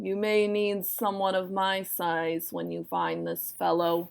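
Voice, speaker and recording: Growling through a put-on character voice, a woman speaks at a fairly slow pace with a fairly low pitch. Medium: read story.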